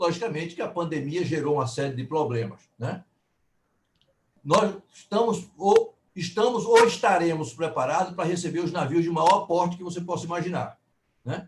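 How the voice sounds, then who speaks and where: Speaking at a moderate pace, a man uses a high pitch for a man with ordinary pitch variation. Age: 70s. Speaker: logistics executive. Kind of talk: live interview.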